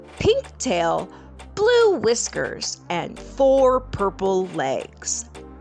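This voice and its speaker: A woman speaking at a very slow pace with music in the background. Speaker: English tutor. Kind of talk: children's story reading.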